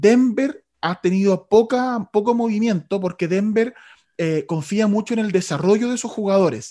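A man speaks fairly slowly in a high pitch with a dark, mellow tone and ordinary pitch variation. The recording is very clean, with a silent background. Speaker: sports radio host. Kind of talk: casual chat.

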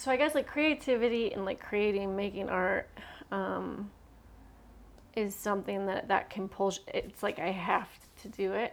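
A woman talks at a moderate pace and a medium pitch, with ordinary pitch variation. She leaves long, frequent pauses. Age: 30s. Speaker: painter. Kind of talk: casual chat. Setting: studio.

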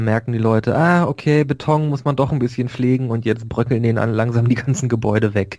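This man speaks at a medium pitch, keeping his intonation fairly level. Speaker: podcast co-host. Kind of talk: casual chat. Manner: calm.

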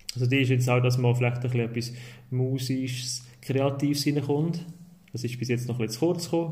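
Somewhat breathy, a man with a medium pitch talks at a fairly quick pace and fairly even intonation in a room with audible echo. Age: 30s. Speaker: primary school teacher, media education advisor. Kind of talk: casual interview.

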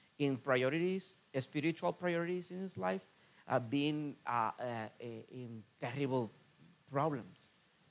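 A man with a Spanish accent, fairly high pitch, lively intonation and a fairly slow pace. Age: 40s. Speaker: missionary preacher. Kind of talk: sermon. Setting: church. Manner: halting, with many fillers and repetitions.

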